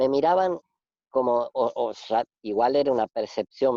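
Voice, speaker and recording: A man with a Rioplatense accent speaks with a medium pitch and ordinary pitch variation. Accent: Argentine Rioplatense Spanish. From Argentina. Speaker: radio host. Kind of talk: casual interview chat. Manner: hesitant, many fillers and repetitions.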